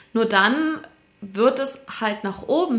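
Noticeable background noise fills the recording. A woman is the one talking. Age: 20s. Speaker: business journalist. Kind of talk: casual interview chat.

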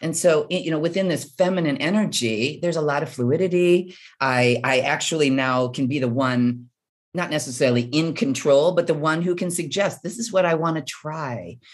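A woman speaks with an American accent at a moderate pace. Her pitch is very deep and low. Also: ordinary pitch variation. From US Midwest. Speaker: author and bodybuilder. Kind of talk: interview. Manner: halting.

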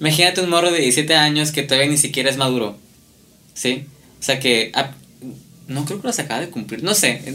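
Spoken in a Mexican accent with a bright, sharp tone, the voice runs at a fairly quick pace broken by long, frequent pauses, with ordinary pitch variation and audible room echo. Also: man, fairly high pitch for a man. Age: 20s. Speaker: fashion designer. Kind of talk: casual chat.

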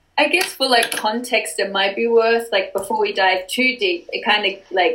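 A woman talks at moderate speed with noticeable noise behind her. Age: 20s. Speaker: podcast host. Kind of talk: interview.

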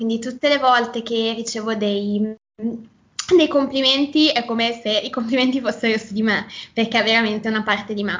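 A woman with a Milanese accent, fairly high-pitched, at a moderate pace with fairly even intonation. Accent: Milanese, open e vowels. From northern Italy, near Milan (Lombardy). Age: 20s. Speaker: Italian teacher. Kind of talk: casual interview.

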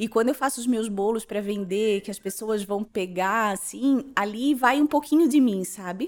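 A woman speaks at a moderate pace with hardly any pauses, in a fairly high pitch and ordinary pitch variation. She has a normal speaking voice, and the recording is very clean with a silent background. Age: 30s. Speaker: social media influencer and insurance broker. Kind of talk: casual interview, personal life story.

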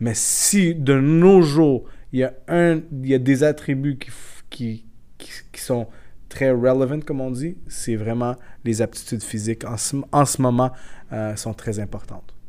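A man with a medium pitch and dark, mellow tone speaks very slowly, with long, frequent pauses. His loudness swings widely while his pitch varies in an ordinary way. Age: 30s. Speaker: football scout. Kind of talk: casual interview. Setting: café.

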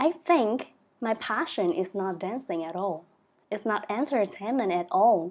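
At a fairly slow pace, a woman talks with very wide pitch swings. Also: medium pitch for a woman. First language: Vietnamese. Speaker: sex educator and dance instructor. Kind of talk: interview. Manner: halting.

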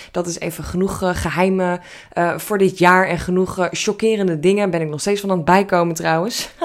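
The woman's intonation is flat and monotone. There is noticeable background noise. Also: medium pitch for a woman, moderate pace. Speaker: business coach podcaster. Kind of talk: solo podcast monologue. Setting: home office. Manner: casual, many filler words.

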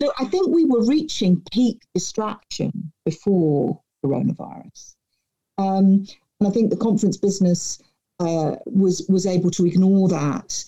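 A woman's somewhat breathy, dark, mellow voice at medium pitch and a fairly slow pace. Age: 50s. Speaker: author and keynote speaker. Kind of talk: interview. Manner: poised.

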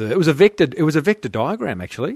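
At a fairly quick pace, a man with an Australian accent speaks in a dry, close sound with no echo and a quiet background. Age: 40s. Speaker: podcast host. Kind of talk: show monologue; casual interview.

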